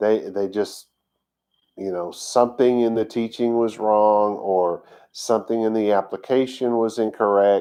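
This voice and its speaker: Against a quiet background, a man with a dark, mellow tone speaks at a fairly low pitch and fairly slow pace in a monotone, flat intonation. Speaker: congregation teacher. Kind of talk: sermon. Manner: halting.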